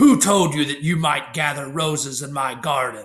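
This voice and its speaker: A man's put-on character voice, fairly high in pitch, at a moderate pace. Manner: angry, menacing.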